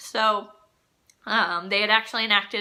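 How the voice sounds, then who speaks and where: A woman's bright, sharp, fairly high voice with a Midwestern American accent and fairly even intonation. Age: 20s. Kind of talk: casual talk to camera.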